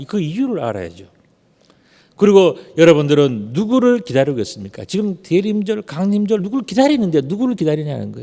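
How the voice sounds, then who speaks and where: A man with a high pitch and a dark, mellow tone, moving at a fairly quick pace through very wide pitch swings. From Gyeongsang region, South Korea. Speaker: pastor. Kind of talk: sermon.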